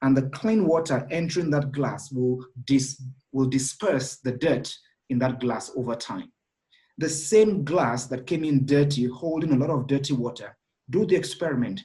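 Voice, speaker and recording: This man's voice has a fairly high pitch, a dark, mellow tone and a somewhat breathy quality. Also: ordinary pitch variation, moderate pace. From Nigeria. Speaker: executive director and thought leader. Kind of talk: interview.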